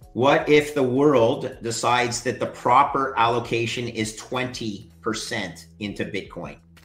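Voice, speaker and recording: Speaking with a Canadian accent, a man talks at a moderate pace and medium pitch with ordinary pitch variation. Noticeable background noise and audible room echo surround him. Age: 50s. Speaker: finance expert. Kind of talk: interview.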